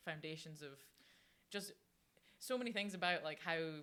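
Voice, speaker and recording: With a Scottish accent, a woman speaks at a fairly quick pace in a very deep, low pitch. Her tone is bright and sharp. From Scotland, Fife. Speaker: professional rugby player. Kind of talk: podcast interview.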